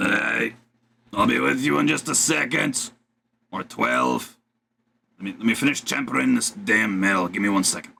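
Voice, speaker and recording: A man's raspy, put-on character voice, fairly low in pitch, at a moderate pace with long, frequent pauses. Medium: actual play. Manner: gruff, casual.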